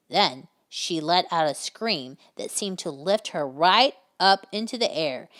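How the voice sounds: It is a natural reading voice heard against a quiet background.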